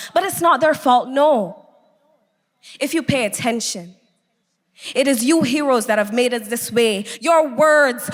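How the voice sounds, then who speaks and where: Over music in the background, the speaker delivers an intense tone with lively intonation at a fairly slow pace. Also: woman. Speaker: spoken word poet. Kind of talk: spoken word poetry performance. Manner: emotional, intense.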